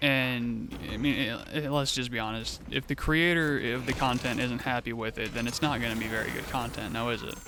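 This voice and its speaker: Music plays in the background while a man talks at a fairly quick pace. He barely pauses, and room echo is audible. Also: medium pitch for a man, fairly even intonation. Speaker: gaming youtuber. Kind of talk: let's play commentary. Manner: halting.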